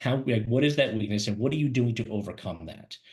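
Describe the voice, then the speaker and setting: The voice is somewhat breathy, with ordinary pitch variation. It goes at a very fast pace. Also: man. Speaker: career webinar host and recruiter. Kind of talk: webinar presentation. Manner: animated.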